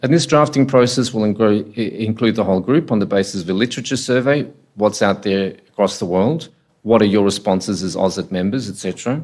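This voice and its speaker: The intonation is lively. The recording is very clean, with a silent background. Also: man. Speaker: ethics committee chair presenting at a workshop. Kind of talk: workshop presentation. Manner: soft-spoken.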